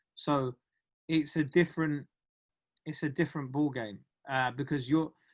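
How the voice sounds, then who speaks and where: At a moderate pace over a quiet background, a man speaks at a fairly high pitch with fairly even intonation. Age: 30s. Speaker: stand-up comedian. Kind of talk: interview.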